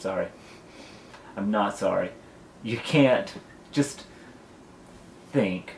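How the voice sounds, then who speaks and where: At a fairly slow pace, a man speaks at a medium pitch with lively intonation. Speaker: vlogger. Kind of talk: rant vlog. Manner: loud.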